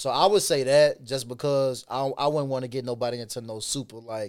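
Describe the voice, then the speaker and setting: A man with a Chicago urban accent talks at a fairly quick pace and medium pitch. His pitch variation is ordinary, and the recording is very clean with a silent background. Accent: Chicago urban American English. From Chicago west side, US Midwest. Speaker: rapper and actor. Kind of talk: casual interview chat. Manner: fast talker, casual.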